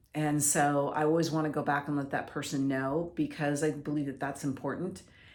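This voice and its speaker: Audible room echo around a woman speaking at a very deep, low pitch. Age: 60s. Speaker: mental health speaker. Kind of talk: personal testimony. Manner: halting.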